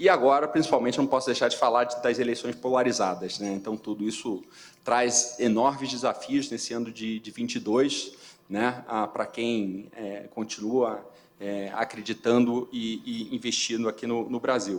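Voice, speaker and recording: A man talks in a Rio de Janeiro accent with fairly even intonation. The recording is very clean, with a silent background. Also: medium pitch for a man, moderate pace. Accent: Carioca. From Rio de Janeiro, Brazil. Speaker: company CFO, award finalist. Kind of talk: award presentation speech. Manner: halting, many filler repetitions.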